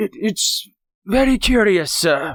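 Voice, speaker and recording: A raspy, put-on character voice comes through at a fairly high pitch. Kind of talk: old-fashioned. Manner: stammering, trembling.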